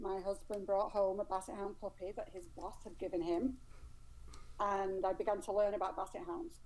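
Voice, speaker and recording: A woman speaks with an English accent at a medium pitch. Her tone is dark and mellow. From England. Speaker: dog rescue volunteer. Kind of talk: interview. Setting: live stream.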